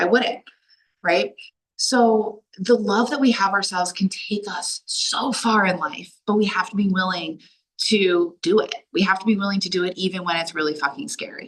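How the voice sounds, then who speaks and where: A woman speaks with an American accent at a medium pitch. Her tone is animated, with ordinary pitch variation. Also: moderate pace. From Delaware, US. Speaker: life coach. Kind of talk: online workshop talk. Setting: video call. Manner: loud.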